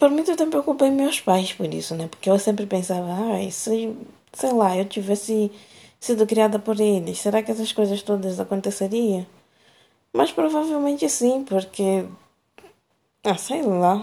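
Speaking at a fairly slow pace, a woman leaves long, frequent pauses. Her tone is dark and mellow. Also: medium pitch for a woman. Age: 30s. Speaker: personal audio diarist. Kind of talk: personal monologue.

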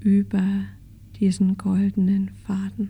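A woman's gentle tone at a very slow pace. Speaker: podcast host and meditation course teacher. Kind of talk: guided meditation, calm and slow, soothing, spoken directly to the listener; casual podcast intro, personal and chatty. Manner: soft-spoken, slow, gentle, with pauses.

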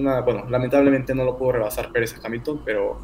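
A man rattles off his words very fast, with room echo clearly audible. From Mexico City. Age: 20s. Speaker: sports content creator. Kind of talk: casual chat.

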